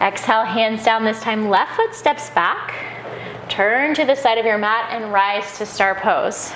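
With audible room echo and light background noise, a woman speaks at a fairly slow pace in a fairly high pitch with ordinary pitch variation. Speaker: yoga instructor. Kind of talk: guided yoga class with breath cues. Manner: rhythmic breath-paced cueing, short commands; calm, gentle and encouraging. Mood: calm, soothing. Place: home room.

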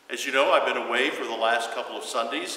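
The speaker is a man. Room echo is audible in the recording. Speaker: pastor. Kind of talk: welcome address to a livestream congregation. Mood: warm, somewhat somber. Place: church.

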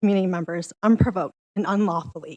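A woman's shaky voice sits at a medium pitch with fairly even intonation and a fairly quick pace. The sound is dry and close with no echo, over a quiet background. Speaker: public commenter, community organizer. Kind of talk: public comment at council meeting. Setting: council meeting.

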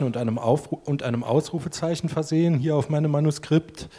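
Somewhat breathy, a man speaks at a fairly high pitch. His pace is fairly quick, with ordinary pitch variation. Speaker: sheltered workshop association director; speaker. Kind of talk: panel discussion. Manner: halting. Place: hall. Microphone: handheld.

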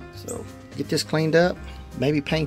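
Faint music sits in the background. Over it, a man speaks at a fairly quick pace. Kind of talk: casual DIY walkthrough narration. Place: boat. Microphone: phone near.

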